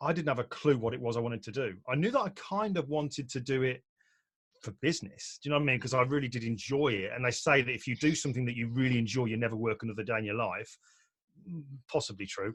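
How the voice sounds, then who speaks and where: A man with a British accent talks at a very fast pace. His pitch is medium, with ordinary variation. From UK. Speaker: portrait photographer and photography teacher. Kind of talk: online presentation talk. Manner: relaxed, conversational with fillers.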